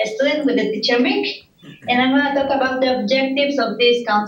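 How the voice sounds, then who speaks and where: A woman speaks with a high pitch and fairly even intonation. Audible room echo and noticeable background noise surround her voice. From Mexico. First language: Spanish. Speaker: adult ESL student. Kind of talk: presentation. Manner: halting.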